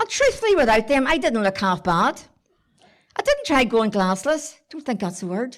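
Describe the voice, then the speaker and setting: A woman with a Belfast accent, high-pitched and fairly quick. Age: 70s. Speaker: storyteller. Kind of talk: storytelling to live audience. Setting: stage with audience. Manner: animated.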